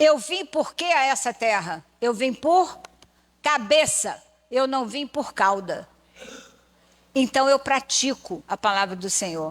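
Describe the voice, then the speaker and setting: Very slowly and with long, frequent pauses, a woman with a high pitch moves through very wide pitch swings. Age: 70s. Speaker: church lecturer. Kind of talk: sermon-style lecture. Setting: church pulpit.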